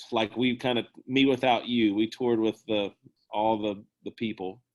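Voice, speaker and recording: A man at a medium pitch, with monotone, flat intonation. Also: moderate pace. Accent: American. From North Carolina, Kernersville. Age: 30s. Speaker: musician. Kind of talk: casual interview.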